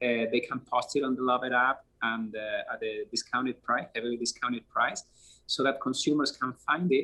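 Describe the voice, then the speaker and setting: Here a man talks with a Spanish accent. His pace is moderate. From Spain. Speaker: app founder. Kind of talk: interview. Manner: hesitant, many fillers.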